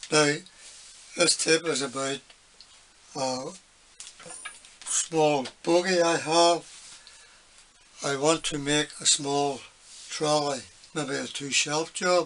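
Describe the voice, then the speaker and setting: A man talks at a very slow pace in a monotone, flat delivery, with long, frequent pauses. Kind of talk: casual workshop tip chat. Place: workshop. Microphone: phone near.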